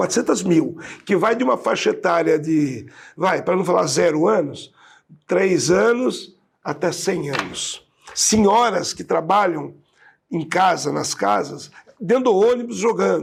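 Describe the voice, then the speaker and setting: The speaker moves at a fairly slow pace, with lively intonation. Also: man, high pitch for a man. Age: 60s. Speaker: city councillor. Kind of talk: interview. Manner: halting.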